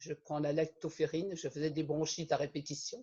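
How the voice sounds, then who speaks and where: Fairly high male speech in a dark, mellow tone. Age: 70s. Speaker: customer giving testimonial. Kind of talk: testimony.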